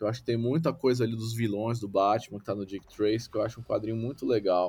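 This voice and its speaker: This man has an ordinary speaking voice at a medium pitch. He talks at a moderate pace. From Brasília, Brazil. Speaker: comics critic and podcaster. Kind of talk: casual interview.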